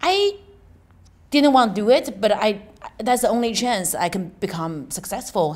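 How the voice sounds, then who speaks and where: Lively intonation marks a woman speaking at a moderate pace with a Chinese accent. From China. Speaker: stand-up comedian and comedy club owner. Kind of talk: interview.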